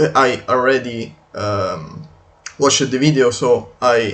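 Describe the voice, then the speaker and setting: A man's medium-pitched voice at a very slow pace, ordinary pitch variation, and music in the background. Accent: non-native. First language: not English. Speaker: video game commentator. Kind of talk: unscripted video commentary. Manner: halting, many fillers.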